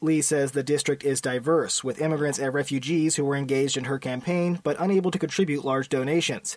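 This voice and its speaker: This man has a plain, everyday voice, pitched fairly high and kept to fairly even intonation. He talks at a fairly quick pace with hardly any pauses. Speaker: news reporter. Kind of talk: news reading.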